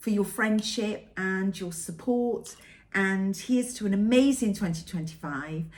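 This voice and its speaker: A somewhat breathy woman in a Welsh accent, with lively intonation at a fairly slow pace. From Wales. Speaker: cross-stitch vlogger. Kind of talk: casual vlog monologue.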